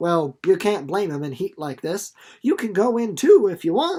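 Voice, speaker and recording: Putting on a character voice in a rural American accent, a female-sounding voice speaks at medium pitch and a moderate pace. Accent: rural American folksy. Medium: read story. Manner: warm, folksy.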